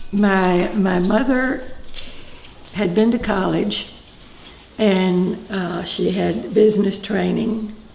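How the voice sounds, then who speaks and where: In a Texan accent, a woman speaks at a medium pitch with ordinary pitch variation, very slowly and with long, frequent pauses, amid audible room echo and noticeable background noise. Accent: Texan Southern US. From Texas (Huntsville, east Texas). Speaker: grandmother interviewed about her life. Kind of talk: oral history interview. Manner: hesitant, many fillers.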